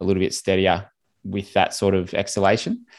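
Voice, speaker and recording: A man speaks with an Australian accent in a fairly low pitch. The recording is very clean, with a silent background. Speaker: swim coach. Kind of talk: interview, coaching advice.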